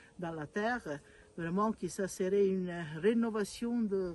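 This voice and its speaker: Speaking with an Italian accent, a woman goes at a very slow pace. Her voice sits at a medium pitch with ordinary variation. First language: Italian (speaking French). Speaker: mother of a beatified young man. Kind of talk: video message to a congress. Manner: halting, many hesitations.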